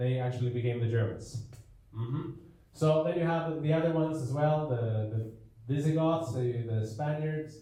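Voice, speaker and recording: Audible room echo carries a man's fairly high-pitched voice with a non-native accent. His pitch varies in an ordinary way. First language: not English. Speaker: preacher. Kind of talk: lecture. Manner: animated.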